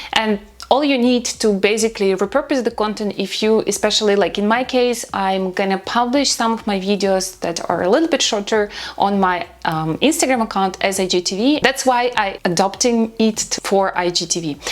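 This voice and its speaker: A woman speaks at a fairly high pitch with ordinary pitch variation and hardly any pauses. Noticeable background noise can be heard. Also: moderate pace. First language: not English. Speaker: social media content creator. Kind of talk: tutorial.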